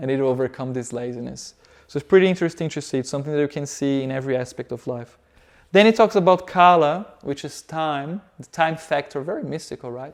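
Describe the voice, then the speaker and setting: With a Portuguese accent, a man talks at a fairly quick pace in a fairly high voice with ordinary pitch variation. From Brazil. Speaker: yoga teacher. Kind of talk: lecture.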